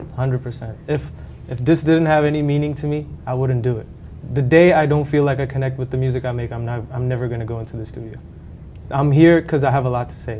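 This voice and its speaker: Against noticeable background noise, a man of medium pitch speaks at a very fast pace. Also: fairly even intonation. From Hong Kong. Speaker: singer-songwriter. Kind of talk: interview answer.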